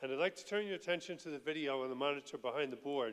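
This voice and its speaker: A man talks at a fairly high pitch. His pitch varies in an ordinary way. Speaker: utility energy efficiency director. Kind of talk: presentation at public meeting. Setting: school board meeting with microphone. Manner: loud.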